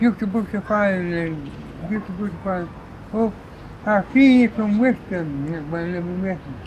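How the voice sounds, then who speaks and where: Noticeable background noise runs behind a man at a moderate pace. His pitch is high, with ordinary variation. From Lancashire, England. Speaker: war-era childhood witness. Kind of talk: oral history interview answer.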